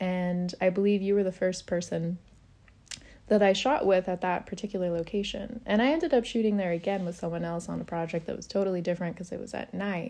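With a West Coast accent, a woman speaks very fast in a dark, mellow tone at medium pitch, with ordinary pitch variation and a quiet background. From Oregon, US. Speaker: photographer. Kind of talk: casual interview chat.

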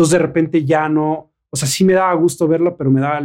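With a normal speaking voice, a man talks at a fairly quick pace and a fairly high pitch, showing ordinary pitch variation. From Mexico. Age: 40s. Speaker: actor and model. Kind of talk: casual chat.

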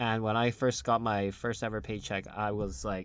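A man speaks with an American accent. Nothing is heard behind him on this very clean recording with a silent background. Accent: general American, slight British slips. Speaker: podcast host. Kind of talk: casual chat.

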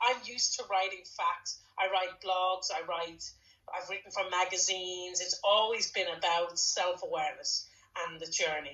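A woman speaks at a medium pitch with a Dublin accent and fairly even intonation. Background noise is noticeable. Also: moderate pace. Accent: Irish (Dublin). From Dublin, Ireland. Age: 40s. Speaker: podcast co-host and author. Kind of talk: casual conversation.

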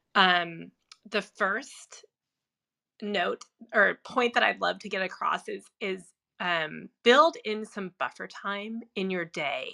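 Against a silent background in a very clean recording, a woman speaks at a very slow pace with a bright, sharp tone, medium pitch, vocal fry, and lively intonation. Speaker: productivity coach. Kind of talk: casual chat. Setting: Clubhouse audio room.

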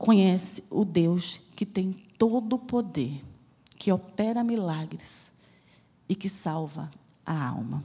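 A woman's somewhat breathy voice, medium in pitch with a dark, mellow tone and lively intonation, moves at a very slow pace with long, frequent pauses. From Bahia, Brazil (Salvador). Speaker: missionary preacher. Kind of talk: sermon. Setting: church.

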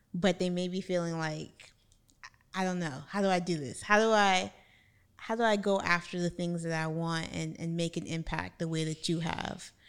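This woman has a plain, everyday voice with an American accent and a fairly low pitch. The recording is very clean, with a silent background. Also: moderate pace. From United States. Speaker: podcast host. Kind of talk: casual interview.

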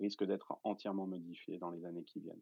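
A man speaks at a fairly quick pace. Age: 40s. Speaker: entrepreneur and investor. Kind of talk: interview explaining a tech topic. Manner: hesitant, many filler sounds.

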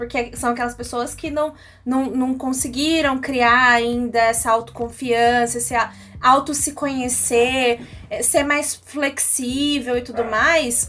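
Very slowly and in a high pitch, a woman speaks with ordinary pitch variation. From Brazil, Bauru (São Paulo state). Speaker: radio co-host. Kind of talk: radio talk show.

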